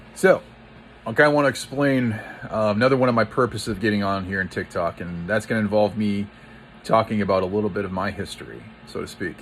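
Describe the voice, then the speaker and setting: Noticeable background noise runs behind a man speaking at a very fast pace. He has a fairly low pitch and ordinary pitch variation. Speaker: pastor. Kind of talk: casual monologue to camera. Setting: social media video. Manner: halting, with self-noted stutter.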